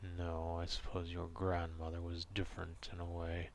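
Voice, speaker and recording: A gruff, very deep put-on character voice from a man at a moderate pace, over clear background noise. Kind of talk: ASMR roleplay. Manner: gruff, grudging.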